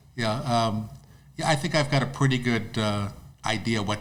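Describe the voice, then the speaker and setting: A man talks at a moderate pace in a fairly low pitch with ordinary pitch variation. There is audible echo in the room. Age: 70s. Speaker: disc golf course owner. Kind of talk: podcast interview. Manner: halting, repetitive.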